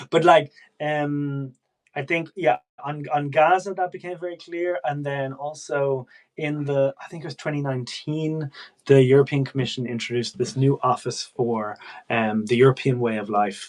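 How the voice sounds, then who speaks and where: A man with an Irish accent talks at a moderate pace, his pitch fairly high and its variation ordinary. His loudness swings widely. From Ireland. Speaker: political press officer. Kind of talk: casual chat.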